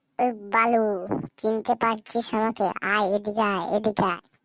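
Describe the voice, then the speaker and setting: A cartoonish character voice, female-sounding and fairly high in pitch, with monotone, flat intonation at a moderate pace. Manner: teasing, playful.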